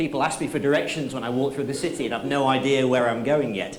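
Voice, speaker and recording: A fairly high male voice in a Manchester accent, ordinary pitch variation, audible room echo and noticeable background noise. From northern England, Manchester. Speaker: motivational speaker and trainer. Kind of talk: conference keynote talk.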